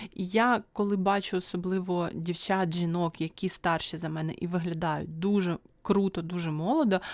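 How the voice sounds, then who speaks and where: In a very clean recording with a silent background, a woman speaks at a moderate pace and a fairly low pitch with fairly even intonation, an unremarkable speaking voice. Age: 30s. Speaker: YouTube vlogger. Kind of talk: solo video podcast monologue. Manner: casual, chatty.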